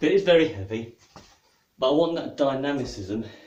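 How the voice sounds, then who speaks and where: This man talks at a moderate pace in a somewhat breathy, medium-pitched voice. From England. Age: 40s. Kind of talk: casual talk to camera. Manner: hesitant, conversational.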